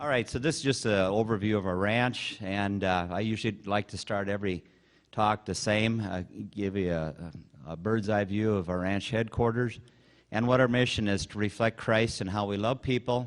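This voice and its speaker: Over a quiet background, a man talks at a moderate pace with a fairly low pitch and fairly even intonation. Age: 60s. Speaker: rancher. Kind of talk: conference talk. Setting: stage with audience. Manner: informal.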